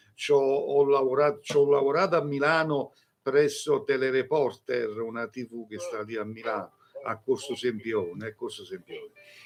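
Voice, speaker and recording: Fairly high in pitch, a man speaks at a moderate pace with very wide pitch swings. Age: 60s. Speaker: psychic and tarot reader. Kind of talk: live-stream call-in readings. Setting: live stream also on radio.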